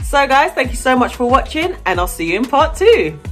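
With faint music in the background, a woman speaks at a moderate pace. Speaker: hair care vlogger. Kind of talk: tutorial. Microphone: phone near.

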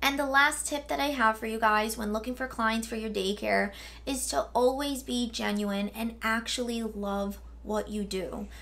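Ordinary pitch variation from a woman at a moderate pace. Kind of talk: casual vlog tutorial. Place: home room.

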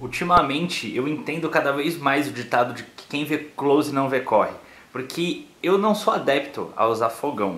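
A man at a moderate pace, with audible room echo. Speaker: vlogger. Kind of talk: casual vlog chat. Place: home room. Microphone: phone near.

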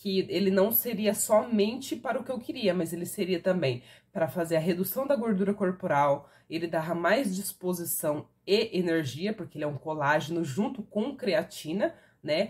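Her voice is somewhat breathy and medium in pitch, and the woman speaks at a moderate pace with lively intonation. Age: 30s. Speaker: product reviewer. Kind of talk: sales pitch. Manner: casual. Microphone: phone near.

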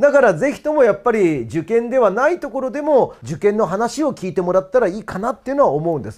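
A man talks in an animated tone at a very fast pace, with hardly any pauses and a high pitch. His pitch swings very widely against a quiet background. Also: big swings in loudness. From Japan. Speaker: cram school history teacher; cram school teacher. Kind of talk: promotional talk about courses. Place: classroom. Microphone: lapel.

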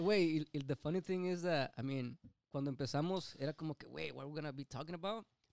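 This man has a normal speaking voice, fairly high in pitch, and talks at a moderate pace. The sound is dry and close with no echo. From Mexico, Nayarit. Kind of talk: casual chat.

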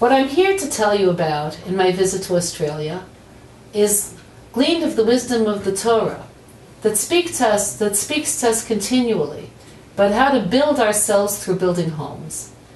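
Over light background noise, a woman speaks with audible room echo. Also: moderate pace. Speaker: teacher. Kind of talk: promotional address to camera. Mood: warm, smiling. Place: office.

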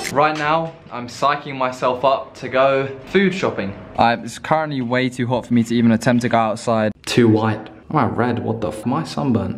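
Light background noise accompanies a man with an English accent who speaks at a moderate pace with hardly any pauses and ordinary pitch variation. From England. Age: young. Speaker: university student. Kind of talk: casual vlog talk to camera. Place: home room. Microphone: phone near.

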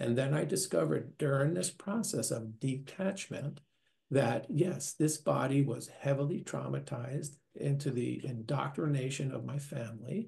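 A man with an American accent, fairly high pitch, vocal fry and a dark, mellow tone, at a moderate pace over a quiet background. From US Northeast, New York; later Minnesota. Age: 60s. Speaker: near-death experiencer, retiree. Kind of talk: interview testimony. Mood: earnest, reflective. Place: home room. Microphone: webcam.

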